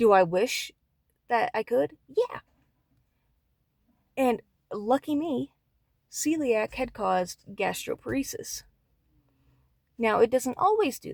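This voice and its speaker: With a dry, close sound and no echo, a woman speaks at a very slow pace. Her loudness swings a lot, and her pauses are long and frequent. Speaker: vlogger with chronic illness. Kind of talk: personal testimony monologue. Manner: casual, candid.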